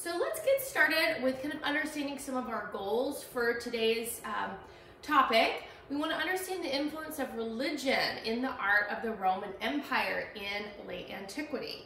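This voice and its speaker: Her voice is raised and projected at a moderate pace. Audible room echo and light background noise surround the woman. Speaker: art history instructor. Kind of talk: lecture. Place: classroom. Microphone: camera far.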